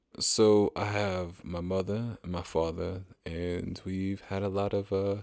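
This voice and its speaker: A man speaks with a very deep, low pitch and a slight Southern US accent. His intonation is fairly even, with hardly any pauses. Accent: slight Southern twang. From Pennsylvania, US. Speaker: engineer, podcast guest. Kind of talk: interview conversation.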